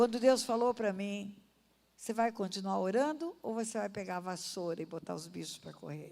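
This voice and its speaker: This woman has a medium pitch, ordinary pitch variation and a dark, mellow tone. She talks at a moderate pace with big swings in loudness. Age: 70s. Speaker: pastor. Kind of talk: sermon. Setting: church. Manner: animated.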